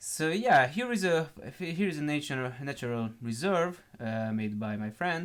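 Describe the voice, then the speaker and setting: With a non-native accent, a man talks with lively intonation. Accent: terrible accent, non-native English. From Hungary. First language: Hungarian. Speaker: gaming YouTuber. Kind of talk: gameplay walkthrough, improvised. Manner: halting, many fillers.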